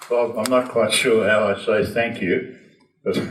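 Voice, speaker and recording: A man with an Australian accent speaks at a medium pitch in a monotone, flat intonation, with audible room echo. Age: 90s. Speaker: racing driver and car maker. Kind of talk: casual talk to a club audience. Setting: lunch gathering with audience.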